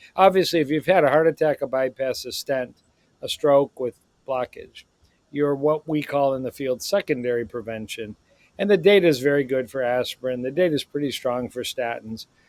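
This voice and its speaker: A man with an ordinary speaking voice talks at a moderate pace. His pitch is fairly high, with ordinary pitch variation. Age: 60s. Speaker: cardiologist. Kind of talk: podcast interview.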